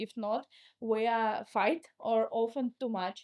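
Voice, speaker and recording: This woman speaks at a fairly high pitch with fairly even intonation. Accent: Russian. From Russia. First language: Russian. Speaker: entrepreneur. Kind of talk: interview conversation. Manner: halting.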